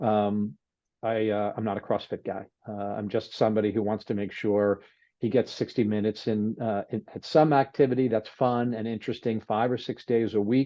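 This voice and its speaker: Intonation stays mostly level without much rise or fall. Delivery comes at a moderate speed. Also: man, fairly low pitch for a man. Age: 60s. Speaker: investor, training client. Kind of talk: casual interview. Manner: halting, many fillers.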